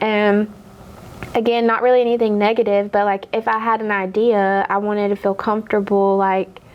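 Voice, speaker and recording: Soft-spoken and monotone, a woman keeps a very even loudness, a medium pitch and a moderate pace with flat intonation. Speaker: car dealership manager. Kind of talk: casual chat.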